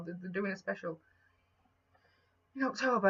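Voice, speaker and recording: A woman's bright, sharp tone with very wide pitch swings. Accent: Yorkshire. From Yorkshire, England. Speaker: vlogger. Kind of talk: casual chat. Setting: home, talking to camera. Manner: rambling with repetitions, stumbling.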